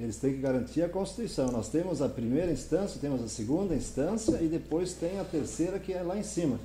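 With a southern Brazilian accent, the speaker uses lively intonation at a fairly quick pace, amid audible room echo and noticeable background noise. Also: man, fairly high pitch for a man. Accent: southern Brazilian (gaúcho) Portuguese. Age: 60s. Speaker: politician. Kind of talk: interview. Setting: live-streamed podcast in coworking space.

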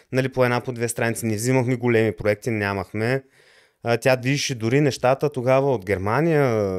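A man speaks at a fairly quick pace with a medium pitch and fairly even intonation. The recording is very clean with a silent background. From Bulgaria, Lovech. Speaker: electronics engineer and programmer. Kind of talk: interview. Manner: halting.

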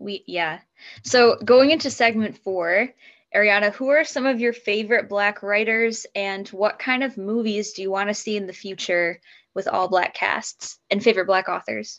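Someone speaks in an ordinary speaking voice with an American accent at a moderate pace. Pitch varies in an ordinary way against a quiet background. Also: woman, medium pitch for a woman. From US Midwest. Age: 20s. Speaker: podcast co-host. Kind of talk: casual chat.

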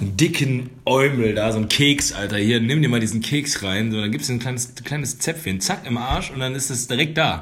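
A medium-pitched man at a moderate pace, hardly any pauses, ordinary pitch variation and noticeable background noise. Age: 30s. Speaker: podcast co-host. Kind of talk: casual chat.

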